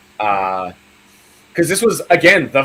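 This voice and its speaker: A man is speaking. He has an Australian accent. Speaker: horror film youtuber. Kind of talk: casual chat. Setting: live stream.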